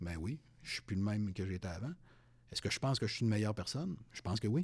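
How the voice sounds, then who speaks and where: Pitch moves in an ordinary way. The recording is very clean, with a silent background. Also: man. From Quebec City. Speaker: retired police sergeant. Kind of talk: interview.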